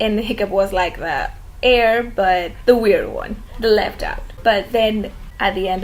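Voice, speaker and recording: A woman speaks fairly slowly with a Spanish accent. Noticeable background noise and audible room echo are present. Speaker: fan video commentator. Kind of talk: casual monologue.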